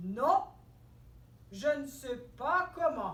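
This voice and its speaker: A high-pitched, put-on character voice comes through with a slight echo and clear background noise. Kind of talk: children's storytelling. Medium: stage play. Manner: slow, drowsy.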